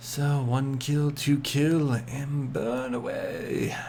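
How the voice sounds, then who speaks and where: A man speaks at a medium pitch, sounding somewhat breathy. There is audible echo in the room. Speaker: game streamer. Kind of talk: live gameplay commentary. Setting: home late-night stream. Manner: quieter than usual, kept down; casual, repetitive filler.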